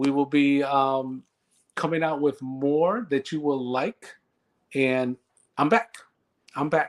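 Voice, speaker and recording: A very slow pace marked by long, frequent pauses. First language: Spanish. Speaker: talk show co-host. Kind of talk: casual chat.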